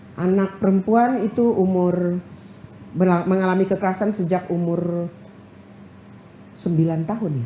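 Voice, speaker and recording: Amid noticeable background noise, a woman of medium pitch speaks at a moderate pace with fairly even intonation and long, frequent pauses. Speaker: head of a women's legal aid organization. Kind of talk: TV talk show interview. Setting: TV studio. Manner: loud.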